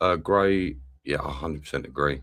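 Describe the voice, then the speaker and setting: At a moderate pace, a man speaks with vocal fry in a very deep, low voice. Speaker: football channel host. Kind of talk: live match watch-along commentary. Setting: live stream. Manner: animated.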